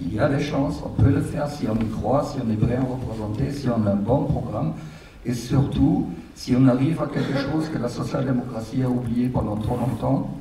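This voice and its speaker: A man with a German accent speaks at a moderate pace with ordinary pitch variation. Noticeable background noise and audible room echo are present. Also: medium pitch for a man. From Germany. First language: German (speaking French). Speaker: international political coordinator. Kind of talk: panel talk.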